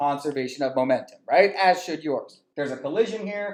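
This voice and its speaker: A man speaks loudly in a high voice, his intonation lively. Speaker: physics teacher. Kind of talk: lecture. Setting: classroom at smart board. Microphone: poor sound quality, no headset, far from computer.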